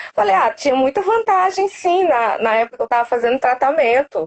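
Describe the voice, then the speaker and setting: Speaking at a moderate pace, a woman with a northeastern Brazilian accent makes very wide pitch swings. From Cariri, Ceará, northeastern Brazil. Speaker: cancer survivor, student. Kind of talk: interview testimony.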